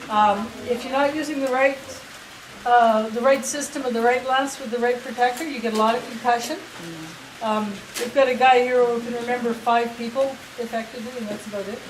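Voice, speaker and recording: Over noticeable background noise, a woman with a high pitch talks at a fairly quick pace, her loudness swinging widely. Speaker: jousting troupe captain. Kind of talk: guided tour talk to visitors. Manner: upbeat, enthusiastic.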